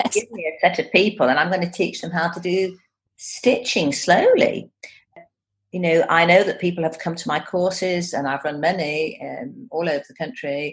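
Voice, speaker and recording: Somewhat breathy and fairly low in pitch, a woman talks at a moderate pace with ordinary pitch variation and big swings in loudness. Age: 60s. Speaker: textile art teacher. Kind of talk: casual chat.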